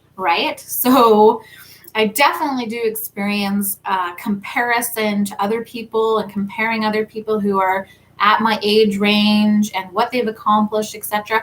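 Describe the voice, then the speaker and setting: A woman talks at a fairly slow pace in a fairly high pitch, sounding somewhat breathy. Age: 30s. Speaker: tarot reader and spiritual content creator. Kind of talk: live stream talk. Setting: livestream. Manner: casual.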